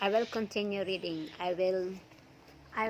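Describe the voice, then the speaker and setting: Speaking fairly slowly, a woman talks in a non-native accent. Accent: non-native English accent from mother tongue. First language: not English. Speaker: vlogger reading Bible stories. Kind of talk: reading aloud; casual talk to viewers. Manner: hesitant, with fillers.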